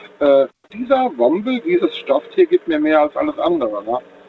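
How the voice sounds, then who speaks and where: Noticeable noise sounds in the background. Over it, a man talks. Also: big swings in loudness. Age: 40s. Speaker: caller, truck driver. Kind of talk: phone-in call. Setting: phone call.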